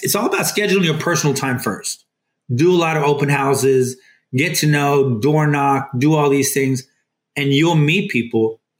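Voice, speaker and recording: A somewhat breathy man at a fairly slow pace, his pitch fairly high. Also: long, frequent pauses, very even loudness. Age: 50s. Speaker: real estate team lead, retired army veteran. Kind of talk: casual interview.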